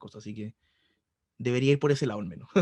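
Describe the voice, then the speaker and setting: A man with a Chilean accent speaks at a very fast pace in a somewhat breathy voice with ordinary pitch variation. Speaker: math tutor. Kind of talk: online tutoring session. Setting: video call.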